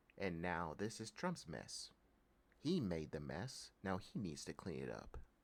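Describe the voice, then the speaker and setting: With vocal fry and an American accent, a man speaks fairly slowly at a very deep, low pitch that makes very wide pitch swings. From Texas. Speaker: political commentary vlogger. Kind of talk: political rant. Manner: animated.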